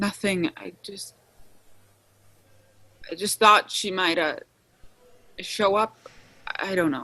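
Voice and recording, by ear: A woman puts on a character voice, slow and broken by long, frequent pauses. Her tone is bright and sharp, with medium pitch and ordinary variation.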